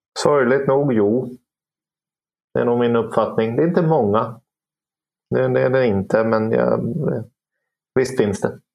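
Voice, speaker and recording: A man speaks at a fairly slow pace with long, frequent pauses. His loudness stays very even throughout. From Åland. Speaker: police inspector. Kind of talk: panel discussion.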